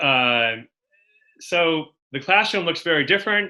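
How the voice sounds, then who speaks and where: Fairly high-pitched, a man talks with a Boston accent in a bright, sharp tone. His pace is fairly slow with ordinary pitch variation, against a quiet background. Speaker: education speaker. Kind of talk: webinar presentation.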